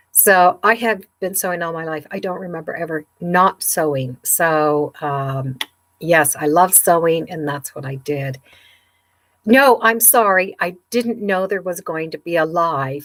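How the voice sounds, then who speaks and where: This is a plain, everyday voice, a woman's at fairly low pitch with lively intonation. She speaks at a fairly slow pace, and her loudness swings widely. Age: 60s. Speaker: sewing YouTuber. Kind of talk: live stream chat. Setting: home sewing room, livestream. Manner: casual, chatty.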